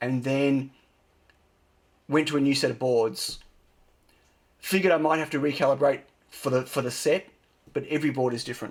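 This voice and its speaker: Using a put-on character voice, a man speaks fairly quickly in a raspy, fairly high pitch with fairly even intonation and long, frequent pauses. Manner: talking slowly.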